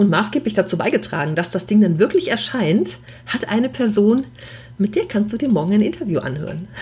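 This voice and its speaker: Over noticeable background noise, a woman talks fairly quickly at a medium pitch with very wide pitch swings. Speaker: podcast host, professional organizer. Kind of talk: casual solo monologue. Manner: unscripted, chatty.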